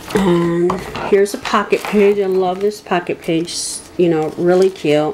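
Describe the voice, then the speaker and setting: With noticeable background noise, a woman talks at a fairly slow pace, her medium pitch carrying fairly even intonation. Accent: American. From Michigan, US. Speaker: crafting video creator. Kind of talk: tutorial. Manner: hesitant with frequent fillers.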